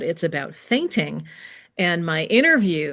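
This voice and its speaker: In an ordinary speaking voice, a woman with a fairly low pitch talks at a fairly slow pace with ordinary pitch variation. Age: 60s. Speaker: massage educator and textbook author. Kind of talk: interview conversation. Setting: podcast interview.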